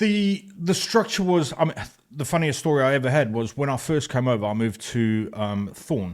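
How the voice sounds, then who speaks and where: At a moderate pace, a man with a South African accent speaks at medium pitch with very wide pitch swings. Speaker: motorcycle club president, ex-police officer. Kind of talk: casual interview.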